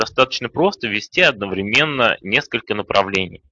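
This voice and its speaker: Bright and sharp in tone, a man speaks at a moderate pace with lively intonation. The sound is dry and close with no echo, over a quiet background. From Kazan, Tatarstan. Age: 30s. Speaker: online business trainer. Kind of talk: webinar presentation. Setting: online webinar. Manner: calm. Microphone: new microphone.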